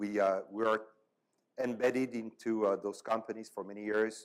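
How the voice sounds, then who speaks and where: Speaking at a moderate pace, a man with a French accent has a fairly low-pitched voice. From France. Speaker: panel moderator. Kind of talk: panel discussion. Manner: halting, many fillers.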